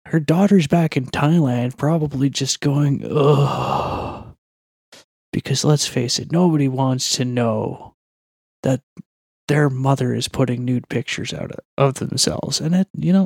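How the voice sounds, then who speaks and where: Quiet and fairly slow, a man speaks in a fairly high voice with ordinary pitch variation, the sound dry and close with no echo. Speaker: MMA opinion commentator. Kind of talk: podcast segment commentary.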